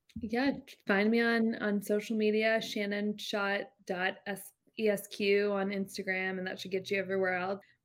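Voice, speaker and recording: A woman speaks at a moderate pace and medium pitch. Her intonation stays monotone and flat. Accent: American. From northeast Florida, Jacksonville. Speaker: lawyer, law firm managing partner. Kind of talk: interview, casual business chat.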